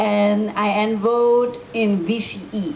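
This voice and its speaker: A woman's fairly high voice with audible room echo. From Thailand (Bangkok), Malaysian. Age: 20s. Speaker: motivational speaker, author. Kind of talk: motivational talk. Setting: room with student audience, microphone.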